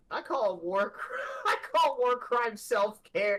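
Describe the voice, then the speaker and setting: Put-on character voice at a fairly high pitch and a very slow pace. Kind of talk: casual, flippant.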